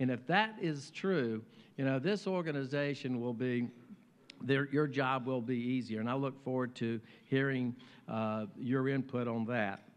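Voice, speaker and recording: A man with an American accent speaks at a fairly slow pace with long, frequent pauses. His pitch varies in an ordinary way. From US South, Virginia. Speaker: mayor. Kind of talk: speech. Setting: luncheon stage with audience. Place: hall. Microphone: podium.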